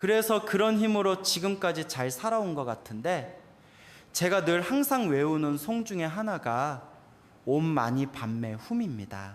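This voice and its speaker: A man's high pitch with very wide pitch swings at a fairly slow pace. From South Korea, Incheon. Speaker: Buddhist monk, temple abbot. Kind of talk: dharma talk.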